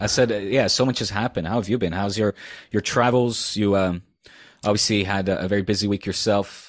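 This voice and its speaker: Man with a Dutch accent, fairly low pitch and fairly quick pace, on a very clean recording with a silent background. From Netherlands. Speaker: football TV presenter and podcast co-host. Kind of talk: casual chat. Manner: animated.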